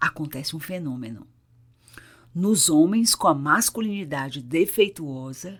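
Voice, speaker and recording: A woman with a fairly low pitch speaks at a fairly slow pace with lively intonation, in an unremarkable speaking voice. The recording is very clean, with a silent background. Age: 60s. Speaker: psychologist, couples therapist. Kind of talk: therapeutic monologue.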